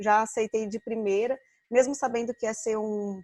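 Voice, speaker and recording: With a dark, mellow tone and fairly high pitch, a woman talks at a moderate pace in a monotone, flat way, the sound dry and close with no echo. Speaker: occupational therapist and lecturer. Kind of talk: online lecture.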